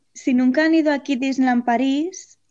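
A woman with a Spanish accent against a quiet background. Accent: Spanish (Spain). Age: 20s. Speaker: theme park employee. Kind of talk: interview.

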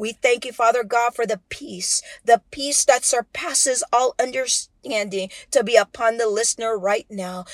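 A woman with a plain, everyday voice speaks at a fairly slow pace and a fairly high pitch, with ordinary pitch variation. The recording is very clean with a silent background and has a dry, close sound with no echo. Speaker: devotional speaker and prayer leader. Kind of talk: fervent prayer, spoken aloud over listeners. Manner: earnest and pleading, with a rising intensity; warm, fervent, and confident in tone.

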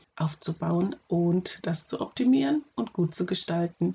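A somewhat breathy woman's voice, fairly low in pitch, at a fairly slow pace. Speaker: podcast host and special-school teacher. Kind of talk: solo podcast advice talk. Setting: home office.

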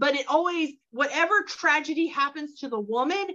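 Raised and projected, a woman's voice carries a bright, sharp tone and lively intonation at a fairly slow pace. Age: 40s. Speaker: book podcast co-host. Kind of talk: casual chat.

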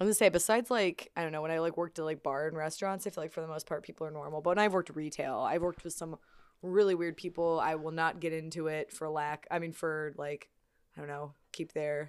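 A woman with an American accent, fairly low in pitch, at a very fast pace with fairly even intonation, in a very clean recording with a silent background. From Illinois, Springfield. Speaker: podcast co-host. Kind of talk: casual chat.

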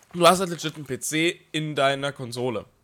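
Fairly high-pitched male voice, bright and sharp in tone and animated. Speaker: podcast co-host. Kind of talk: casual chat.

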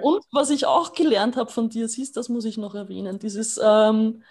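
The somewhat breathy voice moves at a fairly slow pace with ordinary pitch variation. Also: woman. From Austria. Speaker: dog owner and dog sitter. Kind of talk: casual interview chat.

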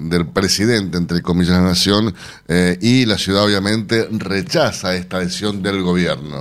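In a plain, everyday voice, a man speaks at a moderate pace with a fairly low pitch. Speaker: radio host. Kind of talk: radio news show. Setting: radio studio.

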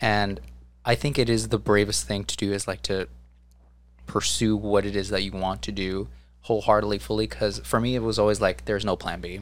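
A man with an American accent speaks at a fairly quick pace and fairly low pitch, his pitch swinging very widely. The recording is very clean, with a silent background. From New Jersey, US. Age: 20s. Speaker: theatrical sound designer. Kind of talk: casual chat.

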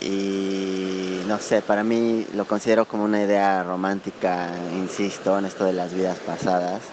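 A man with a Mexican accent and a fairly low pitch at a moderate pace, monotone and flat in intonation, with noticeable background noise. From Mexico. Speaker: listener contributor. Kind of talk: voice message. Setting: outdoors.

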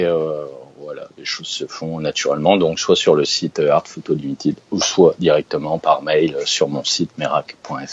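A man's voice against noticeable background noise. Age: 40s. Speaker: wildlife and travel photographer. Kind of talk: interview. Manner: hesitant, many fillers.

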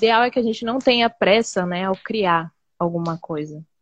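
A woman with an ordinary speaking voice talks at medium pitch, in a dry, close sound with no echo. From Embu das Artes, São Paulo state, Brazil. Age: 20s. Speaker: street artist. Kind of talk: interview. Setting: live video call.

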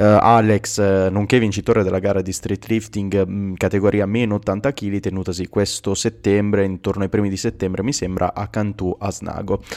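A man at a fairly low pitch and a moderate pace, monotone with flat intonation, on a very clean recording with a silent background. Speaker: street workout podcast host. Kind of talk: casual chat. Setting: Instagram live. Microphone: poor audio quality.

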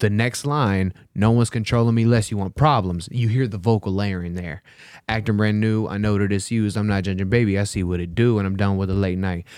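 On a very clean recording with a silent background, a man with an American accent and a plain, everyday voice talks at a fairly quick pace, his fairly low pitch held in fairly even intonation. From Texas. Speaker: musician and ballroom dance teacher. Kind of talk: casual interview chat.

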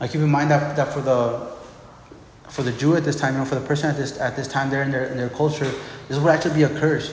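A man's fairly high voice, very fast and monotone, with audible room echo and noticeable background noise. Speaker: pastor. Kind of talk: sermon. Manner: halting, many repeated words.

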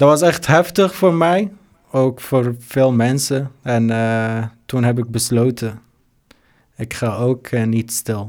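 Speaking with an Arabic accent, a man talks at a very slow pace, leaving long, frequent pauses. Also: very clean recording, silent background. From Syria. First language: Arabic (speaking Dutch). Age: 20s. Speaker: refugee, volunteer. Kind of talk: interview. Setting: studio. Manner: halting, many hesitations.

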